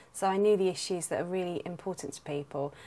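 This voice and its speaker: With a London accent, a woman talks at a very fast pace in a fairly low pitch, using ordinary pitch variation. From South London. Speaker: local councillor and nurse. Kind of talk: campaign statement.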